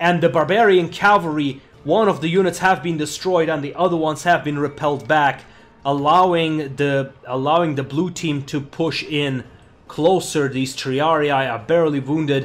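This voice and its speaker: A man with an unremarkable speaking voice, fairly high pitch, fairly even intonation and a moderate pace. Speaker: gaming commentator. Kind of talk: sports commentary. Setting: screen-recorded game commentary. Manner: explanatory and analytical.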